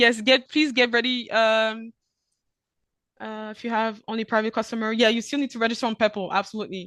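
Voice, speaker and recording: With a French accent, a woman speaks at a fairly quick pace with a fairly high pitch and a bright, sharp tone. Her intonation is monotone and flat over a quiet background. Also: dry, close sound with no echo. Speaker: e-invoicing platform presenter. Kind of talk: webinar Q&A. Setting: video call webinar. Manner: fast; hesitant, many fillers.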